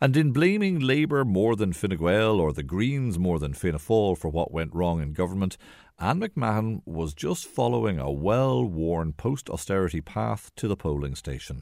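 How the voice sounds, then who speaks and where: In a very clean recording with a silent background, a man with an Irish accent speaks in a very deep, low pitch with very wide pitch swings. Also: moderate pace, hardly any pauses. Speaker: radio documentary presenter. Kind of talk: documentary narration. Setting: home living room.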